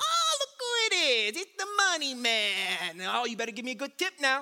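Someone uses a put-on character voice pitched high. The pace is moderate. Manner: mocking, teasing.

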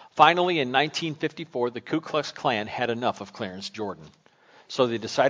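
Lively intonation in an unforced reading voice

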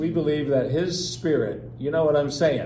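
A man with an American accent talks at a fairly slow pace with ordinary pitch variation. There is audible room echo. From Pennsylvania (Harrisburg). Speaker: pastor and church coach. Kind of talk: sermon discussion.

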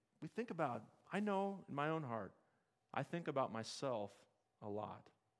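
Fairly high in pitch, a man with an American accent speaks with very wide pitch swings. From US Midwest (Henderson, Nebraska). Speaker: pastor. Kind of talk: sermon. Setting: church.

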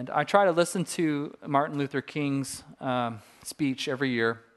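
A man with a Californian accent, fairly high in pitch, at a moderate pace, with ordinary pitch variation. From Southern California. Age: 40s. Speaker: pastor. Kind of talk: sermon.

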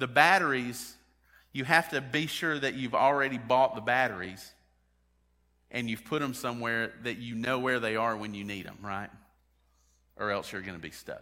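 Long, frequent pauses break up a man's speech, with ordinary pitch variation. Audible room echo surrounds him. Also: medium pitch for a man, moderate pace. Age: 40s. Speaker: pastor. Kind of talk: sermon. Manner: halting.

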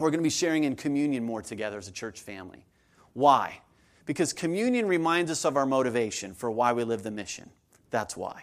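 The intonation is lively and the pace fairly quick. The recording is very clean, with a silent background. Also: man. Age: 40s. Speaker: pastor. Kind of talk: sermon. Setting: church. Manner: animated.

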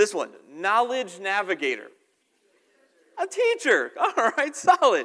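A man speaks at an extremely high pitch with very wide pitch swings in a raised, projected voice. His delivery is very slow, broken by long, frequent pauses. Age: 30s. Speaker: pastor. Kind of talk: sermon. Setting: church. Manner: halting.

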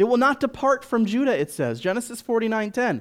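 In an American accent, a man speaks at a fairly quick pace with an extremely high pitch and ordinary pitch variation. The recording is very clean, and the background is silent. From US, Washington DC. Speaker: missionary. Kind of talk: sermon.

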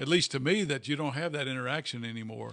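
The voice has a bright, sharp tone with vocal fry. The background is quiet. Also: man. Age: 60s. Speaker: pastor. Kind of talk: casual chat. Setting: office.

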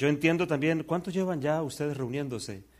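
In a plain, everyday voice, a man talks at a fairly high pitch with ordinary pitch variation. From Colombia. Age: 50s. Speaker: visiting preacher. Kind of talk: sermon.

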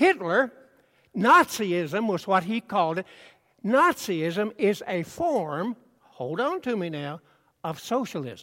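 A raised, projected voice with a bright, sharp tone moves at a very slow pace with long, frequent pauses and very wide pitch swings, on a very clean recording with a silent background. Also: man, high pitch for a man. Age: 80s+. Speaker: preacher. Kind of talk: sermon.

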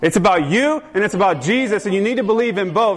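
Noticeable background noise sits under a man's high-pitched voice with lively intonation. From US South. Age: 40s. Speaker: pastor. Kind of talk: sermon.

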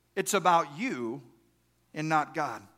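A man's bright, sharp tone with a Texan accent. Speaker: pastor. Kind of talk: sermon.

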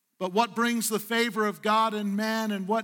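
A man with a high pitch uses a raised, projected voice and a bright, sharp tone, speaking at a moderate pace with monotone, flat intonation. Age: 60s. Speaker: pastor. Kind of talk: Sunday sermon, pastor exhorting the congregation with call-and-response. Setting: church service with live congregation. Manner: earnest, conversational preaching with repetitions and self-corrections; coaxing the congregation for responses.

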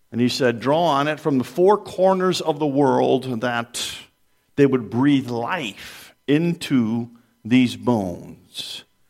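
Speaking very slowly, a man with a medium pitch uses lively intonation. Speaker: pastor. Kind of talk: sermon. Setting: church.

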